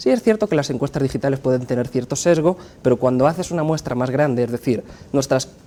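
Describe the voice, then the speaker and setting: With a Spanish accent, a man talks at a very fast pace, his medium pitch showing ordinary variation. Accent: Spanish (Spain). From Spain. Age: 30s. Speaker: pollster and university professor. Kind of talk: interview.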